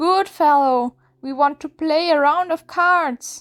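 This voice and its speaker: A woman's put-on character voice, high-pitched and shrill, at a fairly slow pace, on a very clean recording with a silent background. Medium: read story. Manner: whining.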